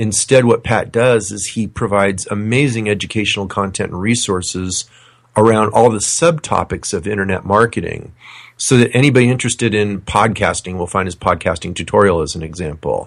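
A man with a plain, everyday voice, fairly low in pitch, fairly quick, with ordinary pitch variation, on a very clean recording with a silent background. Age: 50s. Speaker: financial coach. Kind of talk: interview.

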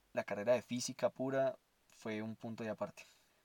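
A man talks at a moderate pace and medium pitch, his intonation fairly even. The sound is dry and close, with no echo. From Colombia, Armenia (Quindío). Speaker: podcast host, science student. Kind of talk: personal monologue. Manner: halting.

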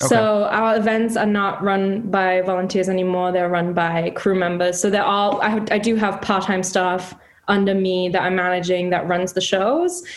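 A woman speaks at medium pitch and a moderate pace with monotone, flat intonation and very even loudness. She leaves hardly any pauses, and background noise is noticeable. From Germany. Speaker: music event director. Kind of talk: casual interview. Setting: video call.

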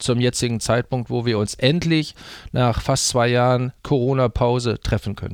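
A man at medium pitch and moderate pace. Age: 60s. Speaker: teacher and exchange program advisor. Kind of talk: interview. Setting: studio. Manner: hesitant, many fillers.

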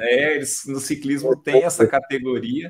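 A man's voice at a fairly high pitch. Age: 50s. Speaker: amateur cyclist. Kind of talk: casual chat. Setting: live video stream.

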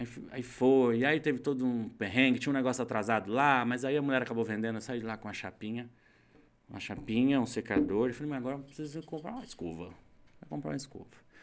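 The speech comes at a very fast pace with big swings in loudness and ordinary pitch variation. The recording is very clean with a silent background. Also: man, medium pitch for a man. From São Paulo state, Brazil. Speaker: hairdresser. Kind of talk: casual interview.

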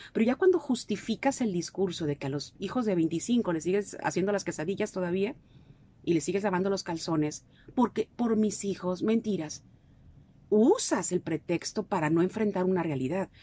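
This woman speaks at a medium pitch. Her tone is dark and mellow. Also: lively intonation, moderate pace. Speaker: clinical psychologist. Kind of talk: radio interview. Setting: radio studio.

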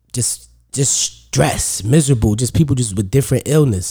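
A man with a New York accent speaks at a moderate pace in a somewhat breathy voice with a dark, mellow tone. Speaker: comedian. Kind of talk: casual chat.

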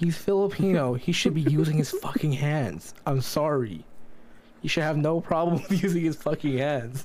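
Over noticeable background noise, a man speaks with a fairly high pitch and very even loudness. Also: ordinary pitch variation, moderate pace. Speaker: podcast co-host. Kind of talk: casual chat.

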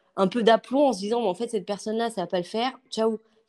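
Fairly quick speech from a woman, the sound dry and close with no echo, on a very clean recording with a silent background. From western France (Angers). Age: 30s. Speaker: interior decorator. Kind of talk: interview. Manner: hesitant, many fillers.

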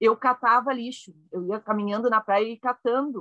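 A woman with a southern Brazilian accent, fairly high pitch, bright, sharp tone and fairly slow pace, in a dry, close sound with no echo. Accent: gaúcho Brazilian Portuguese. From Rio Grande do Sul, Brazil (Caxias do Sul). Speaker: laughter yoga leader. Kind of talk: casual chat.

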